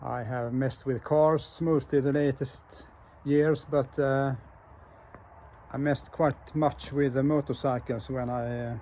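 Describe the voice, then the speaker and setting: A man with a Swedish accent speaks fairly slowly in a medium-pitched, dark, mellow voice, flat and monotone, with long, frequent pauses. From Sweden. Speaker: motorcycle builder and hobby mechanic. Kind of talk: casual video walkthrough. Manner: halting, many fillers.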